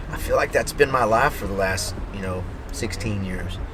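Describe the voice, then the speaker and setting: Noticeable background noise and audible room echo accompany a man speaking in an American accent at a fairly quick pace. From Texas, Maypearl. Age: 40s. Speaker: country singer-songwriter. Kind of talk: interview. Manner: casual.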